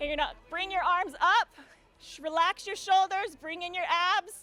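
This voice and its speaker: A woman's raised, projected voice at an extremely high pitch, with fairly even intonation, a moderate pace, big swings in loudness, and a dry, close sound with no echo. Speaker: yoga therapist. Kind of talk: speech then guided yoga warm-up.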